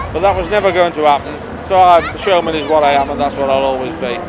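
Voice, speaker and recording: Speaking at a very fast pace, a man is heard against crowd noise in the background and audible room echo. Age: 60s. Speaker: fairground showman. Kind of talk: documentary interview.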